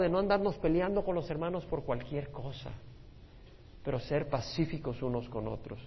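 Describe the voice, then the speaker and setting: At a moderate pace, a man talks with fairly high pitch. Vocal fry runs through his voice. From El Salvador. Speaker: pastor. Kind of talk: Bible study teaching.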